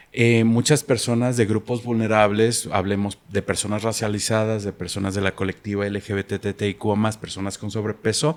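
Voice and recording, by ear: Speaking with few pauses, a man holds a fairly low pitch with little pitch movement. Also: fairly quick pace.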